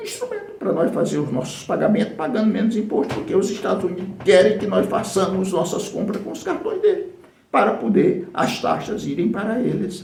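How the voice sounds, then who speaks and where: A man talks at a fairly quick pace with hardly any pauses, over noticeable background noise and audible room echo. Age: 60s. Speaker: political activist. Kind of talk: political speech.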